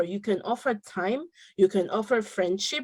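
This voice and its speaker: A woman of medium pitch speaks at a moderate pace in a dark, mellow tone, with ordinary pitch variation. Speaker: panelist on parenting webinar. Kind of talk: webinar discussion. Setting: video call. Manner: loud.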